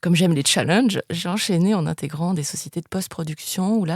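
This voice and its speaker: A woman speaks at a fairly quick pace with a fairly low pitch. Her voice is somewhat breathy. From France, of Spanish descent. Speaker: international TV sales executive. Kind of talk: interview. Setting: podcast interview. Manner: hesitant, many fillers.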